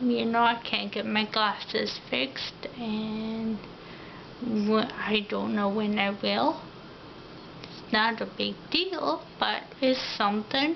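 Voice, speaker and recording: A woman at a very slow pace with lively intonation, noticeable background noise and audible room echo. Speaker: vlogger. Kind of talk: personal video diary. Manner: many filler ums.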